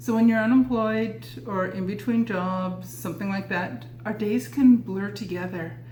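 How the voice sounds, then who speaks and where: Through noticeable background noise and audible room echo, a woman at a medium pitch speaks at a fairly slow pace, her pitch swinging very widely. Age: 60s. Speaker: lifestyle vlogger. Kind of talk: casual tutorial.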